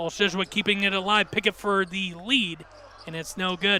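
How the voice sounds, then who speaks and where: A man's high-pitched, raised and projected voice. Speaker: basketball play-by-play announcer. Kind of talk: live TV sports play-by-play commentary. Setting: arena broadcast with crowd noise. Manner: conversational, analytical.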